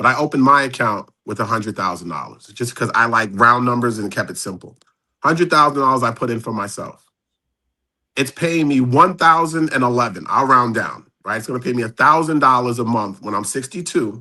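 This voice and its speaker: Man with a bright, sharp tone and medium pitch, lively intonation, a fairly quick pace, and a quiet background. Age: 50s. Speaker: financial advisor. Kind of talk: casual chat.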